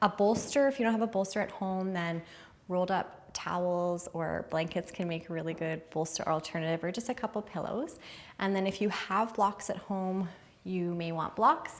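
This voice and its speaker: Ordinary pitch variation and a moderate pace in an ordinary speaking voice. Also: woman, medium pitch for a woman. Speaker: yoga and meditation instructor. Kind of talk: guided yoga class instruction. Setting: yoga studio or online class. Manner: calm, soothing, instructional.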